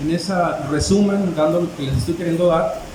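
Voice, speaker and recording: A high-pitched man is heard with noticeable background noise and audible room echo. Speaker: preacher. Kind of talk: sermon. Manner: halting, many fillers.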